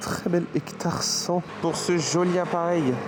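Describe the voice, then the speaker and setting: A man speaks over noticeable background noise. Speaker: photography vlogger. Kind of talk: casual vlog.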